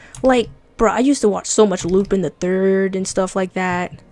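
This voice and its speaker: A woman speaks at a moderate pace and medium pitch, with ordinary pitch variation and a relaxed tone. Music plays in the background. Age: young. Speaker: livestreaming artist. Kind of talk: casual chat while drawing. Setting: livestream. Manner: casual, relaxed.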